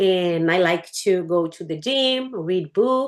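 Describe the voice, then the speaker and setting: Very wide pitch swings in a Portuguese accent against a quiet background. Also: woman. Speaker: English learner. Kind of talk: casual chat.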